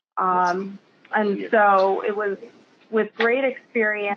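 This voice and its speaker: A woman speaks in a plain, everyday voice with fairly even intonation. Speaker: roofing sustainability consultant. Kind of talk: presentation. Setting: video call.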